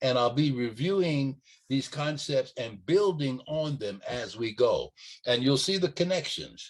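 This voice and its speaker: At a fairly slow pace, a man speaks with lively intonation in a fairly high pitch. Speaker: podcast host, early childhood educator. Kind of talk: educational podcast talk. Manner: slow, deliberate; hesitant, repeats words.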